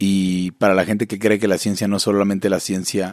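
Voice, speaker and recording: A man talks at a fairly quick pace with a fairly low pitch. He has a plain, everyday voice. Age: 30s. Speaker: podcast co-host. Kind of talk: casual chat. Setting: remote call from home.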